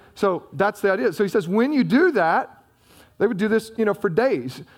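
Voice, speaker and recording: Lively intonation from a man at a fairly quick pace, in a Southern US accent. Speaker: pastor. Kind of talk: sermon. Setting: church. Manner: fast talker.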